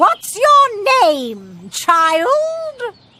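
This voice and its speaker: Someone shouts in a put-on character voice. The shouting stays in that put-on voice throughout. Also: woman, extremely high pitch for a woman. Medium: read story. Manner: imperious, shouting.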